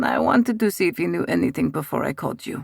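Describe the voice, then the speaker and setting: A man's raspy put-on character voice, fairly high in pitch and delivered at a very fast pace. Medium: read story. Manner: controlled.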